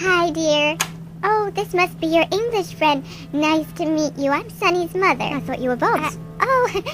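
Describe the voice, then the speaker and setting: A female-sounding voice, high in pitch, puts on a character voice. Clear music plays in the background. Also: moderate pace. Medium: audio drama. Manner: gushing, chatty.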